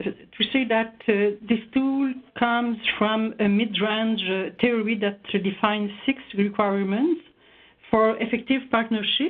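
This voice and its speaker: With a Quebec accent, a woman talks at a very slow pace, her fairly high pitch carried on fairly even intonation and very even loudness. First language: French. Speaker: researcher. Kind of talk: webinar presentation. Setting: online webinar. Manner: halting, many hesitations.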